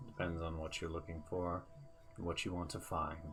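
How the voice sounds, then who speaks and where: Over clear music in the background, a man does a put-on character voice with a very deep, low pitch at a moderate pace. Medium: actual play. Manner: calm, serene, unhurried.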